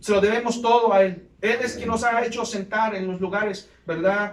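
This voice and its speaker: The speaker talks at a moderate pace with fairly even intonation, and the room echo is audible. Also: man. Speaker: pastor. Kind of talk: sermon. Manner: occasional stutter; impassioned preaching.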